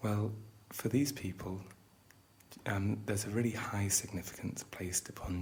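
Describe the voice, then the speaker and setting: A man with a British accent speaks in a fairly low voice with a calm tone. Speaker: psychiatrist lecturer training tour guides (role-play). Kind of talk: educational roleplay lecture. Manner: calm, soft-spoken, conversational ASMR.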